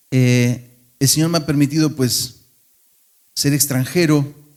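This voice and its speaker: In a very clean recording with a silent background, a man with an Argentine accent speaks at a fairly slow pace with fairly even intonation. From Argentina. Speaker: pastor. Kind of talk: sermon. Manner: conversational, with fillers and restarts.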